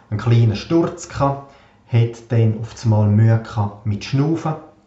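A man speaks with lively intonation, and the recording carries audible room echo and noticeable background noise. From Switzerland, Graubünden (Davos). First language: Swiss German (speaking German). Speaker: podcast host. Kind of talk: personal monologue.

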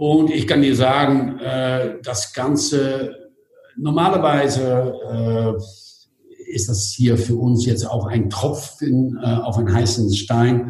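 Audible room echo surrounds a man speaking at a very slow pace with a Dutch accent. His pitch is medium, with ordinary variation. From Netherlands. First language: Dutch (speaking German). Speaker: hotel group executive. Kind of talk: interview.

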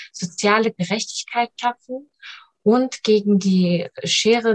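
A woman talks at a very slow pace, somewhat breathy, with fairly even intonation. The sound is dry and close, with no echo. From Germany, family from Iran. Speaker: local politician, mayoral candidate. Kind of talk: interview.

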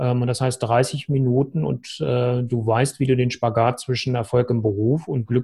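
A man's somewhat breathy voice in a dark, mellow tone. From northern Germany, Hannover. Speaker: relationship coach. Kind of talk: interview.

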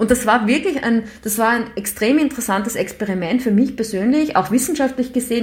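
A woman speaks fairly quickly in a fairly high voice with lively intonation. Noticeable background noise runs underneath. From Austria, Graz. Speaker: professor. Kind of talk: interview.

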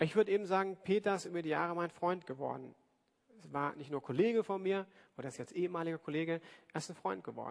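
Speaking at a very fast pace, a man with a high pitch shows big swings in loudness. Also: ordinary pitch variation. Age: 40s. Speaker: pastor. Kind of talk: sermon. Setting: church service with congregation.

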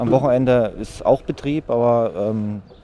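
The intonation stays fairly even while noticeable background noise runs beneath the voice. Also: man. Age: 40s. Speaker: site caretaker. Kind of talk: interview.

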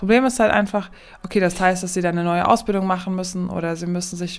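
Talking at a very fast pace, a woman with a medium pitch keeps a monotone, flat intonation. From Aachen area, Germany. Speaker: nurse, podcast co-host. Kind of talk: casual chat.

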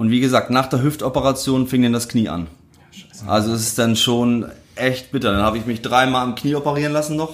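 Ordinary pitch variation and a fairly quick pace from an ordinary speaking voice. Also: man, medium pitch for a man. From northern Germany, Lüneburg Heath. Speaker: former footballer. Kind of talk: casual interview.

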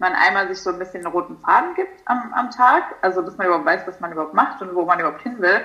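Against noticeable background noise, a woman talks at a very fast pace with lively intonation and hardly any pauses. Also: medium pitch for a woman. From Germany, near Frankfurt am Main. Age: 20s. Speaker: nutrition coach. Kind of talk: casual interview chat. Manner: hesitant, many fillers.

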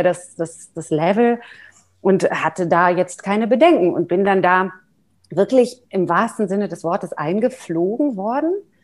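Speaking at medium pitch with lively intonation, a woman has an unremarkable speaking voice. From Germany, Neckargemünd near Heidelberg. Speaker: mezzo-soprano singer and voice professor. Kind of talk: interview. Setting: video call.

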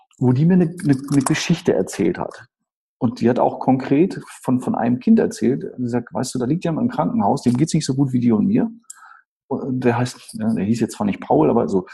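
This man's voice is somewhat breathy, with a dark, mellow tone at a medium pitch. His pitch swings very widely, and he moves at a fairly quick pace. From northern Germany, Schleswig-Holstein (Eutin area). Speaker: storytelling speaker and sales trainer. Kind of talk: interview. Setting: video call.

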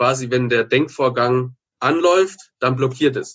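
Speaking at a moderate pace, a man uses a plain, everyday voice of medium pitch with ordinary pitch variation. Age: 30s. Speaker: former drug addict turned author and entrepreneur. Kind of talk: interview testimony.

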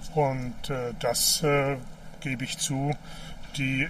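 Over noticeable background noise and audible room echo, the speech comes very slowly with monotone, flat intonation. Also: man. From East Germany, Mecklenburg-Vorpommern. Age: 60s. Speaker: politician. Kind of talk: interview on a walk. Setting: outdoors, walking by a river.

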